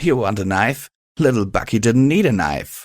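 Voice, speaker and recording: In a very clean recording with a silent background, a man uses a put-on character voice at a moderate pace. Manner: cruel, laughing, taunting.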